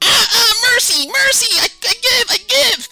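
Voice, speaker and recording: The pitch sits extremely high. It is a put-on character voice. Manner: squealing, begging for mercy.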